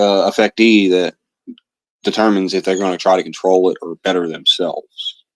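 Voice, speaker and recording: With an American accent, a man talks at a moderate pace in a fairly low pitch, his intonation fairly even and the sound dry and close with no echo. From Louisiana, US South (Cajun). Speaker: livestreamer. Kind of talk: livestream rant. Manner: calm; halting, many fillers.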